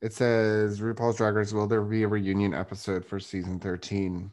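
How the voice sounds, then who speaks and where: Pitched fairly low, a man speaks at a moderate pace against a quiet background. His tone is animated and playful. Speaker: podcast host, real estate agent. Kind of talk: casual chat, podcast recap. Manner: animated, playful.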